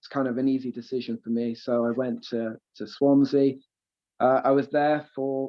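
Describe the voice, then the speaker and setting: A man at medium pitch and moderate pace, with a slight Welsh accent and monotone, flat intonation. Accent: slight Welsh tinge. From Wales, Aberystwyth (west coast). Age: 20s. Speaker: professional footballer. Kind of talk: interview. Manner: hesitant, many fillers.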